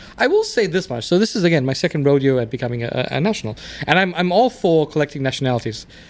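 Over noticeable background noise, a man talks very fast in a fairly high voice. His pitch swings very widely. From South Africa. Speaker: immigrant guest. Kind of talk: casual chat.

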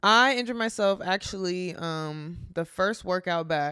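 In an American accent, a woman speaks fairly slowly at medium pitch, with ordinary pitch variation and a bright, sharp tone. The recording is very clean and the background silent. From Texas, Garland. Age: 20s. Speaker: college athlete. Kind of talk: casual chat.

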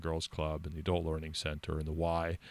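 Recorded very cleanly over a silent background, a man speaks with an American accent. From California. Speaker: radio host. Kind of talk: casual chat. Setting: studio.

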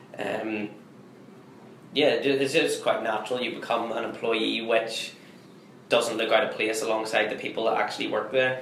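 A man in a Belfast accent talks at a moderate pace with long, frequent pauses. Noticeable background noise and audible room echo fill the recording. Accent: Belfast Northern Irish. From Northern Ireland, Belfast. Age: 20s. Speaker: student entrepreneur. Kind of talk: interview.

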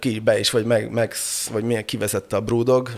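At a moderate pace and medium pitch, a man speaks over noticeable background noise. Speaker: brewer and pub owner. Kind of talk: casual chat. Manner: halting.

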